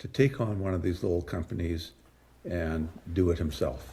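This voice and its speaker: At a fairly slow pace, a man speaks in a dark, mellow, somewhat breathy voice. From British Columbia, Canada. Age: 70s. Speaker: mining company president. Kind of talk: interview.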